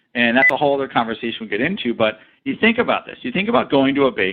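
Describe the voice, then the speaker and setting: A fairly high-pitched man at a very fast pace, with very wide pitch swings. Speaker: sales engineer presenter. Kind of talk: webinar presentation. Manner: animated.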